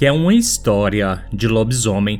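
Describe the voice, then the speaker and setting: In a dramatic tone and with a Brazilian accent, a man speaks at a fairly slow pace. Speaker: podcast host. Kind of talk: ghost story telling. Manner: dramatic, suspenseful storytelling.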